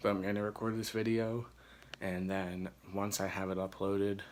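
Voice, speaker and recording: Quiet and monotone, a man with an American accent speaks at a fairly low pitch with flat intonation. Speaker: gaming vlogger. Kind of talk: casual vlog. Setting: dorm room. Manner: quiet, hushed.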